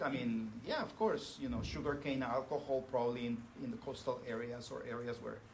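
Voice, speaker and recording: Amid noticeable background noise and audible room echo, a man with a Spanish accent speaks at a moderate pace with lively intonation. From northern Mexico (Monterrey). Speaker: professor. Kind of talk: lecture. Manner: halting, many fillers.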